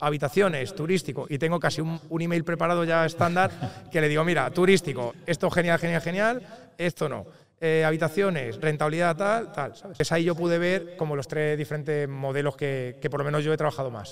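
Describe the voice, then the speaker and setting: An unremarkable speaking voice from a man, fairly high in pitch, with ordinary pitch variation and a fairly quick pace. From Spain, Toledo. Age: 30s. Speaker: real estate investor and tech entrepreneur. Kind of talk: interview. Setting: recorded in person at an event.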